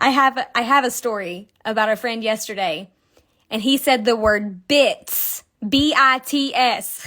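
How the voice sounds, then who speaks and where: Against a very clean, silent background, a woman speaks in a bright, sharp, animated tone at a fairly slow pace with ordinary pitch variation. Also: fairly high pitch for a woman. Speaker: crochet designer. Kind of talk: live-stream crochet tutorial. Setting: Instagram live stream.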